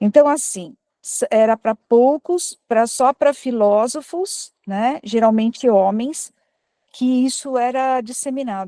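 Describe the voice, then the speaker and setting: On a very clean recording with a silent background and a dry, close sound with no echo, a woman speaks at a very slow pace in a high pitch, with a dark, mellow tone and ordinary pitch variation. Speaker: audience participant at spiritist talk. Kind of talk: group discussion comment. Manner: speaking quietly.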